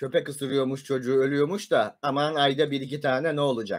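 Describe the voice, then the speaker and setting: A man shouting at a moderate pace against a quiet background. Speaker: live streamer. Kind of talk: livestream rant. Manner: agitated, shouting; stammering. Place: home room. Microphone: webcam.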